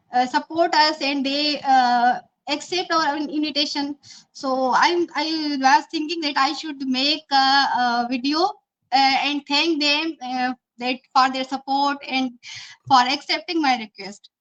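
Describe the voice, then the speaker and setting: Using a high pitch with ordinary pitch variation, a woman with a Pakistani accent speaks at a fairly slow pace. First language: Urdu. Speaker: interview show host. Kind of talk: interview. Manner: halting.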